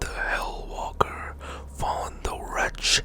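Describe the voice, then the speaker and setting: Whispering amid noticeable background noise. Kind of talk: ASMR whispered reading of game lore. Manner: whispered, soft-spoken.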